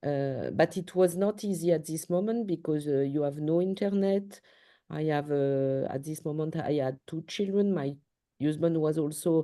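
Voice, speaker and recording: A dark, mellow voice speaks in a French accent at a moderate pace. The background is quiet. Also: woman, very deep, low pitch for a woman, ordinary pitch variation. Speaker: paediatric surgeon. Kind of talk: interview. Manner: halting.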